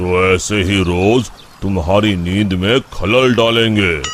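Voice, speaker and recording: A man does a cartoonish character voice at a fairly low pitch. He speaks at a very slow pace over clear background noise. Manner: calm, measured.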